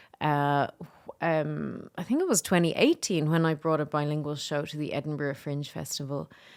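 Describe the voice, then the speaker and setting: The recording is very clean, with a silent background. The speaker talks in a Dublin accent. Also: woman, very deep, low pitch for a woman, fairly even intonation, moderate pace. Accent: Dublin Irish. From Ireland, Dublin. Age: 30s. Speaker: comedian and filmmaker. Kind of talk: casual interview.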